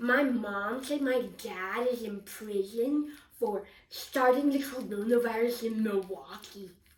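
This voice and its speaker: A woman puts on a cartoonish character voice, pitched fairly high. She delivers it at a fairly slow pace. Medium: puppet. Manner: excited, chatty.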